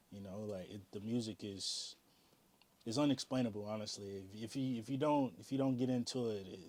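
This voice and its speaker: A man with an unremarkable speaking voice and an American accent talks at a fairly quick pace, with medium pitch and ordinary pitch variation. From US South, North Carolina and Virginia. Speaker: DJ and music artist. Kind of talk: interview. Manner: casual, many fillers.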